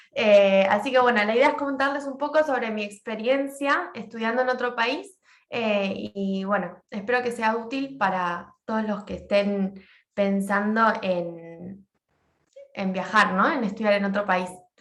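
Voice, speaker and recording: A woman talks at a fairly slow pace in a fairly high pitch, with ordinary pitch variation. Audible room echo surrounds her voice. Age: 20s. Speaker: social work graduate student. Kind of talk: class presentation.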